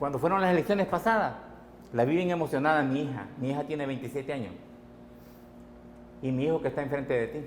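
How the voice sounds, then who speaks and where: Pitched fairly high, a man talks at a very fast pace with ordinary pitch variation and long, frequent pauses. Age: 60s. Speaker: transport sector organizer. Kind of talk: TV interview.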